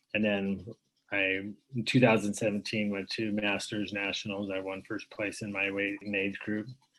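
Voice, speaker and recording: A man's voice sits fairly low in pitch. He keeps a moderate pace, and his intonation is monotone and flat. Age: 60s. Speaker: cancer patient and weightlifter. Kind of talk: podcast interview.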